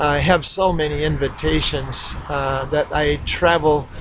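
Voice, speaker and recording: A man's voice over noticeable background noise. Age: 60s. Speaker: missionary preacher. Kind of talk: recorded video message. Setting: outdoors in a backyard. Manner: hesitant, many fillers.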